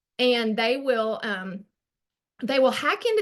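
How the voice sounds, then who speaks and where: With a strong Arkansas accent, a woman talks at a fairly slow pace and fairly high pitch, using ordinary pitch variation. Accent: thick Arkansas Southern. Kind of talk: online group presentation. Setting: video call. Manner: casual, chatty with fillers.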